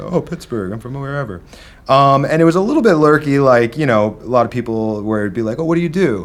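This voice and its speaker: A man with a slight Midwestern accent talks at a very fast pace with a fairly high pitch and lively intonation, on a very clean recording with a silent background. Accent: slight Midwestern twang, harsh A's. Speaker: drummer and studio owner. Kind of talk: casual chat.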